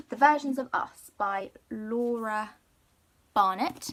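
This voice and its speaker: A woman with a British accent, fairly high pitch and ordinary pitch variation. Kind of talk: casual talk to camera. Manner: chatty, rambling.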